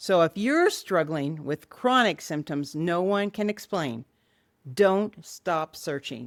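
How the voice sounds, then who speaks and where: Recorded very cleanly with a silent background and a dry, close sound with no echo, a woman speaks very slowly at a fairly low pitch with lively intonation. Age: 60s. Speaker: lifestyle vlogger. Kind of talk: vlog monologue.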